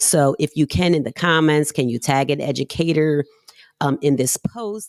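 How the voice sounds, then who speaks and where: A woman with a very deep, low pitch speaks at a moderate pace with ordinary pitch variation. Her tone is animated, the sound dry and close with no echo. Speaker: podcast host. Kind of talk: live stream chat. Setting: live stream outdoors. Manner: loud.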